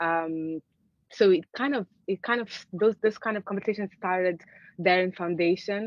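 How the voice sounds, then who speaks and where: With a Portuguese accent, a woman speaks at a medium pitch and a moderate pace, using ordinary pitch variation. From Angola. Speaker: artist. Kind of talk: conversational interview. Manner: hesitant, many fillers and restarts.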